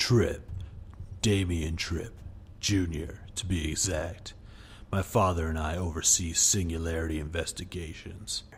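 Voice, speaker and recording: A man puts on a character voice with a very deep, low pitch and fairly even intonation, heard over clear background noise. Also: moderate pace. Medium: read story. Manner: smooth, self-assured.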